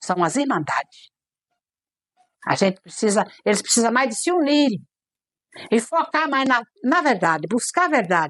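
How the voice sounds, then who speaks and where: A woman speaks at a moderate pace and a fairly high pitch, leaving long, frequent pauses. Her pitch swings very widely while her loudness stays very even. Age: 60s. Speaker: Candomblé/Umbanda priestess (mãe de santo). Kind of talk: documentary interview. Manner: halting, with frequent repetitions.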